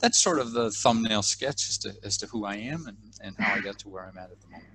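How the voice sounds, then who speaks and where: Talking at a very fast pace, a man with an American accent has a fairly low pitch, a bright, sharp tone, ordinary pitch variation and big swings in loudness. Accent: American, slightly Australian-tinged. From United States. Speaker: leadership trainer. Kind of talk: interview. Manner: halting, with fillers and restarts.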